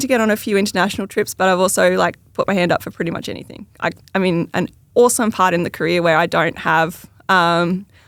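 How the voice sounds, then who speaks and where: Speaking at a very fast pace, a woman has a medium-pitched voice with ordinary pitch variation and an Australian accent. The recording is very clean, with a silent background. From Tasmania, Australia. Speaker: electrical engineer. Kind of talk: podcast interview answer.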